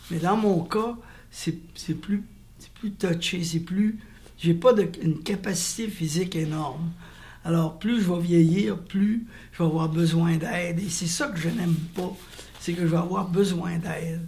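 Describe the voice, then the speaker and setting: Audible room echo surrounds a man with a high-pitched voice. He talks at a fairly slow pace with fairly even intonation. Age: 70s. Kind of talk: interview testimony. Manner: halting.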